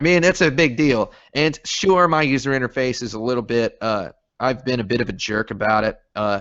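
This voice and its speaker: A man speaks with a slight Southern US accent. His pitch is medium and his intonation lively. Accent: slight Southern drawl. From moved around US as army child. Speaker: game developer. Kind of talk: casual interview chat. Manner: rambling, joking.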